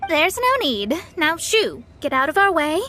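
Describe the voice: A woman's put-on character voice, high-pitched, with big pitch swings and a bright, sharp tone. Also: fairly slow pace.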